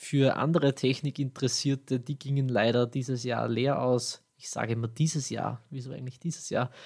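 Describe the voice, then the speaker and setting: A man with an Austrian accent talks with hardly any pauses, somewhat breathy and with fairly even intonation, on a very clean recording with a silent background. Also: medium pitch for a man, moderate pace. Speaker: podcast host. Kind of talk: scripted tech news podcast.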